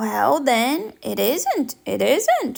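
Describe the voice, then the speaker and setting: A woman puts on a character voice pitched high. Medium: read story. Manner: mild, agreeable.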